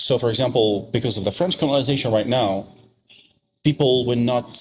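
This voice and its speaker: A man speaks at a fairly quick pace in a medium-pitched, somewhat breathy voice, with ordinary pitch variation and very even loudness. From Algeria. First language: Arabic. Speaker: podcast guest. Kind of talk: casual chat.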